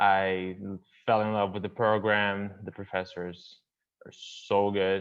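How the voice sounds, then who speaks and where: In a Portuguese accent, a man talks at a very slow pace and a fairly low pitch, his intonation monotone and flat. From Brazil, São Paulo state, Campinas. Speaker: university student. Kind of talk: casual self-introduction.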